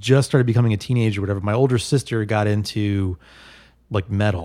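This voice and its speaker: In a very clean recording with a silent background, a man with an American accent speaks at a fairly quick pace in a normal speaking voice, with ordinary pitch variation. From New Jersey (Bergenfield), later San Francisco. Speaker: podcast guest. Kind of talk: casual chat.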